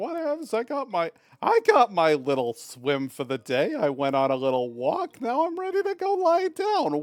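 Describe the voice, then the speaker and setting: A man uses a put-on character voice at an extremely high pitch. He talks at a moderate pace with hardly any pauses. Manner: goofy, relaxed.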